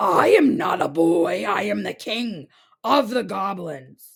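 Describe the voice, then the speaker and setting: Putting on a character voice, a woman speaks at a fairly slow pace in a raspy tone at a medium pitch. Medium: read story. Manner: menacing.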